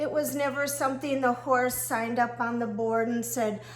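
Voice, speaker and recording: With audible room echo around her, a woman talks at a high pitch with lively intonation. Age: 60s. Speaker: horse riding coach. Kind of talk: casual monologue video.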